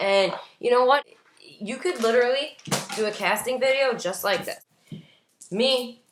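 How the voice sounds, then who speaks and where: Her delivery comes at a moderate speed. The woman's pitch rises and falls in an ordinary way. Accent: American. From New York, Staten Island. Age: 20s. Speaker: former reality TV contestant, vlogger. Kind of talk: casual vlog tutorial. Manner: casual, filler-heavy.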